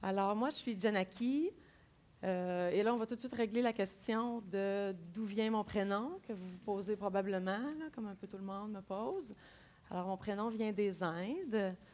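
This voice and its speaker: A woman's normal speaking voice at a medium pitch, with a fairly slow pace and ordinary pitch variation. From Quebec City. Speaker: agile coach. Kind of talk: conference talk. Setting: stage with audience.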